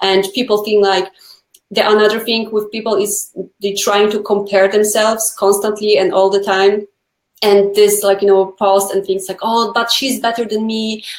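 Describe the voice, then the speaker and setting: A woman with a non-native accent speaks at a moderate pace in a medium pitch, her intonation flat and monotone. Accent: foreign. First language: not English. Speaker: nail educator. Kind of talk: casual chat. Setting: live video stream.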